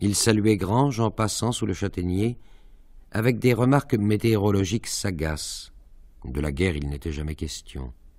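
In a normal speaking voice, a man talks at a fairly slow pace with a fairly low pitch and lively intonation over a quiet background. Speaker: actor reading aloud. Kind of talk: literary audiobook reading, measured narration of prose with a dreamlike, evocative pace; literary reading. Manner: slow, measured, formal, expressive.

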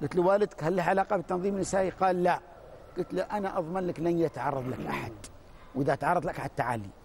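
Very fast, high-pitched male speech with ordinary pitch variation and light background noise. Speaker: university director; talk show guest. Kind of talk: TV panel discussion. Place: studio. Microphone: lapel.

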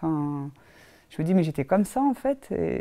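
The speaker keeps a fairly quick pace. The background is quiet. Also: woman. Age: 30s. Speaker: fitness program client giving a testimonial. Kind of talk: testimony. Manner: hesitant, many fillers. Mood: warm, relaxed, positive. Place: office.

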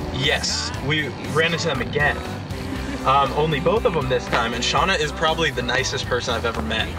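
A man talks fairly quickly while clear music plays behind him. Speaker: vlogger. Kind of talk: casual vlog chat. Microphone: phone near.

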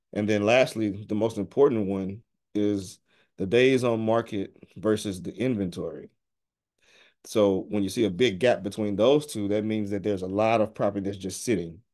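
With a quiet background, a plain, everyday voice speaks at a moderate pace with fairly even intonation. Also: man, fairly low pitch for a man. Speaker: presenter. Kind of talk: presentation walkthrough. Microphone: webcam.

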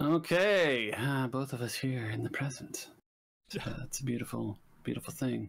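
An ordinary speaking voice from a man, medium in pitch, ordinary in pitch variation, moderate in pace. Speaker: guest player. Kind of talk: casual tabletop gameplay chat.

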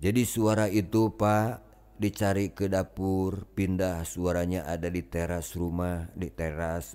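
With a very deep, low pitch and fairly even intonation, a man speaks at a very slow pace with hardly any pauses. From West Java, Tasikmalaya area. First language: Sundanese (speaking Indonesian). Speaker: Islamic spiritual teacher. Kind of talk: storytelling to a gathering. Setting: gathering with audience.

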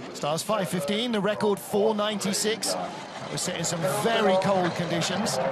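Noticeable background noise accompanies a man speaking at a high pitch and a fairly slow pace with fairly even intonation. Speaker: sports commentator. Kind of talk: live commentary. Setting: outdoors at ice track, commentary booth.

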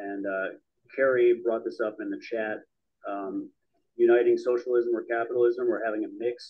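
A man speaking at a moderate pace, with long, frequent pauses, in front of a quiet background. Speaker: audience member. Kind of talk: discussion. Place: meeting room. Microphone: handheld.

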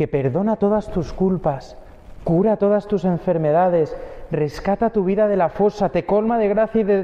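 A man's high-pitched voice with a dark, mellow tone, fairly even intonation and a moderate pace

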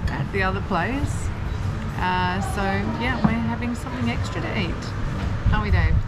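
A woman's speech with long, frequent pauses over loud background noise. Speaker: travel vlogger. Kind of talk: casual vlog chat. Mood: relaxed, cheerful. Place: bar. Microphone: phone near.

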